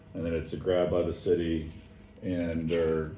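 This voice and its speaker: Audible room echo around a man with a very deep, low voice. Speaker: property owner at city meeting. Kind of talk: meeting discussion.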